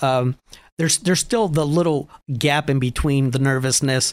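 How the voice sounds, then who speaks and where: A man speaks with an American accent in an ordinary speaking voice, fairly high in pitch with ordinary pitch variation. The sound is dry and close with no echo. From Erie, Pennsylvania. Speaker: transit operations manager. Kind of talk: radio interview.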